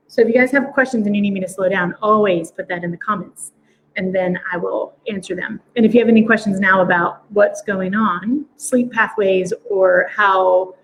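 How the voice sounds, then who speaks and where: Speaking at a fairly quick pace, a woman uses a fairly high, somewhat breathy voice with ordinary pitch variation. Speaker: quantum biofeedback practitioner. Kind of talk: live stream demo talk. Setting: live video stream. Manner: fast.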